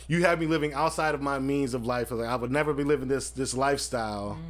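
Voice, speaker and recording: With ordinary pitch variation, a man delivers his words very quickly. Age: 30s. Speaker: podcast host. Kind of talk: casual chat.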